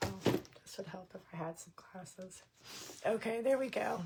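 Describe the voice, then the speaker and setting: A woman with an American accent talks at a fairly slow pace. Her voice is somewhat breathy. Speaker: crafter and craft show host. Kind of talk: live-stream crafting tutorial. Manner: casual, chatty.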